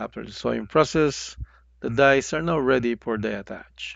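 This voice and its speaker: Using a non-native accent, a man speaks at a moderate pace and a medium pitch. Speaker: semiconductor packaging instructor. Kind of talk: educational tutorial narration.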